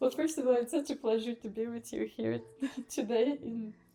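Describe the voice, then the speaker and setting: A woman with a Bulgarian accent talks at a fairly quick pace in a fairly high pitch, with a dark, mellow tone and ordinary pitch variation. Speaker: restaurant founder and Ayurvedic chef. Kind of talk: casual interview. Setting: restaurant.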